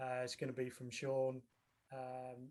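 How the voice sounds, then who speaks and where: A man's voice is somewhat breathy and sits at a medium pitch. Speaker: tech company representative. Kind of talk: online meetup presentation.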